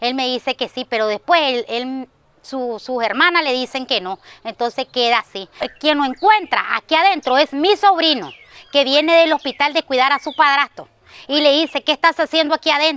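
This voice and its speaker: Her pitch is high, and her intonation is lively as this woman speaks at a moderate pace. The sound is dry, with no echo. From Nicaragua. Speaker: family member of victim. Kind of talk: news interview testimony. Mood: upset, indignant. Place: garden. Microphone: lapel.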